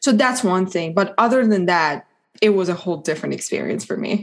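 In a Persian accent, a woman speaks at a medium pitch and a fairly quick pace. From Iran. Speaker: law student. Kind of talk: casual interview.

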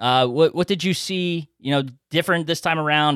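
The recording is very clean, the background silent. A man talks with an American accent and varies his pitch in an ordinary way. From Philadelphia. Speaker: podcast host. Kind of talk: casual podcast conversation. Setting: studio with microphones. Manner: jokey, friendly.

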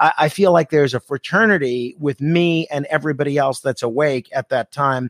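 A man speaks in an ordinary speaking voice with an American accent, fairly high in pitch with ordinary variation. The sound is dry and close, with no echo. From New York City, Staten Island. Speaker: radio host. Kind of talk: casual chat.

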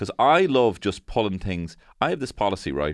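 Against a quiet background, a man with a fairly low pitch makes very wide pitch swings. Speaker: podcast host. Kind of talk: casual comedic chat.

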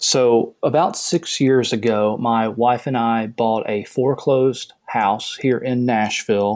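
Speaking at a fairly slow pace, a man has a Southern US accent. His pitch is medium and his intonation fairly even. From US South. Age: 30s. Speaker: caller seeking financial advice. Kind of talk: casual call-in conversation.

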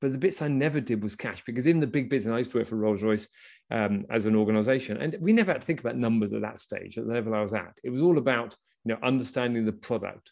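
A man talks at a very fast pace in a medium pitch, with ordinary pitch variation. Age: 50s. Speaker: podcast host, business coach. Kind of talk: interview. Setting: video call.

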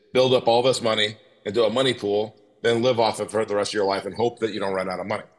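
Medium-pitched male speech with ordinary variation in pitch. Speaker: podcast host. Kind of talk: interview. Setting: remote call. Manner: halting.

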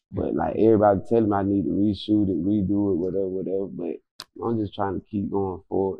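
This man talks at a fairly quick pace with a Florida accent. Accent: Southern US, Florida. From Florida, Quincy. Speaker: rapper. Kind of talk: casual interview.

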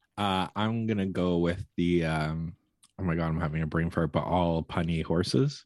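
Delivered at a fairly slow pace with a Canadian accent, this voice keeps very even loudness and ordinary pitch variation in a very clean recording with a silent background. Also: man. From Canada. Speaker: podcast co-host. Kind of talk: casual chat.

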